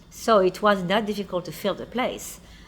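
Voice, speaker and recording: A woman speaks with a French accent at a moderate pace. Her pitch is medium for a woman. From France. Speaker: restaurant owner and chef. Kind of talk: documentary interview.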